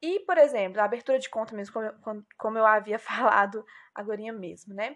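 With lively intonation, a woman's voice proceeds at a moderate pace. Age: 20s. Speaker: former bank employee. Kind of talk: casual interview.

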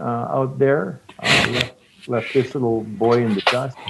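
Noticeable background noise runs under this recording. A man with a Canadian accent speaks at a very slow pace. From Regina, Saskatchewan, Canada. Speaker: podcast host and producer. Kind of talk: casual chat.

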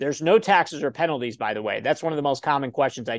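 Recorded dry and close with no echo against a quiet background, a man with a Midwestern American accent speaks at a fairly high pitch. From Ohio. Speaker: self-directed retirement account educator. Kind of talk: interview.

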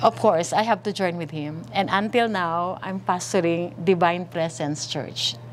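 With a plain, everyday voice, a woman talks at a fairly slow pace in a fairly low pitch, her intonation lively. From Philippines, Manila. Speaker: pastor. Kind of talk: testimony.

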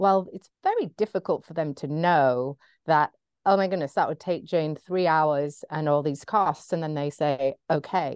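A woman with an American accent speaks fairly slowly at a very deep, low pitch, with ordinary pitch variation. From England. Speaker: photographer and business mentor. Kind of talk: interview.

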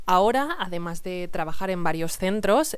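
A woman talks at a fairly slow pace, and audible room echo colors the sound. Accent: Castilian. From Spain, Salamanca. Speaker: Spanish teacher. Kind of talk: podcast monologue for language learners.

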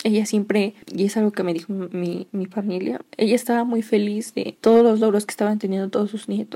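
A woman at medium pitch speaks at a moderate pace in a dark, mellow tone. Her voice is somewhat breathy, with monotone, flat intonation. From Mexico, Toluca, State of Mexico. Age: 20s. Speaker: podcaster. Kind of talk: personal storytelling monologue.

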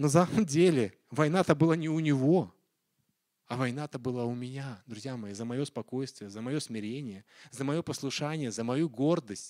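A man's unremarkable speaking voice at a medium pitch and moderate pace, on a very clean recording with a silent background. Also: ordinary pitch variation, big swings in loudness. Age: 40s. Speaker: pastor. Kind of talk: sermon.

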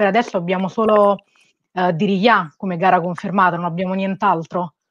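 The woman has a normal speaking voice at a medium pitch, recorded with a dry, close sound and no echo. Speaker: interviewer. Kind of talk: interview. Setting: video call.

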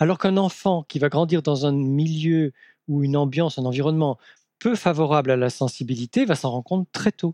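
Against a quiet background, a man with a fairly high pitch and a dark, mellow tone talks at a fairly quick pace. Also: ordinary pitch variation, dry, close sound with no echo. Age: 50s. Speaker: psychoanalyst and author. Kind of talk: interview. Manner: halting.

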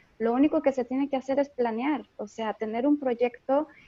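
The speaker is a woman with a high pitch. Her intonation stays fairly even. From Jalisco, Mexico. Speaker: opera singer. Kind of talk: casual chat.

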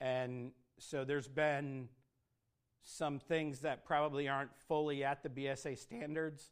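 Speaking slowly-ish at a fairly slow pace, a man with an American accent holds a fairly high pitch in monotone, flat intonation. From Michigan, US (Flint). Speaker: scouting executive. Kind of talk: fireside talk to an audience. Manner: halting, many fillers.

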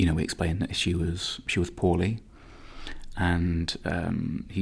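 A man with a Nottingham accent speaks at a moderate pace. His very deep, low voice is somewhat breathy. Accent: Nottingham East Midlands English. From Nottingham, England. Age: 30s. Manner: reflective, hesitant with repeats.

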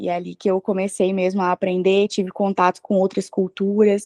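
A woman with a normal speaking voice talks at a medium pitch, the sound dry and close with no echo against a quiet background. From Brazil. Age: 20s. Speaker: traveler. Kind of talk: interview.

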